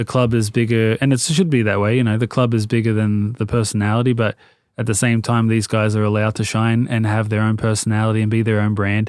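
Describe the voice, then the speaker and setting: With an Australian accent, a man speaks very fast in a flat monotone at very even loudness. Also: medium pitch for a man, very clean recording, silent background. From Australia (Sydney, Marrickville and Sutherland Shire). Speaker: fashion brand founder, former footballer. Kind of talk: podcast interview. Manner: casual, hesitant with fillers.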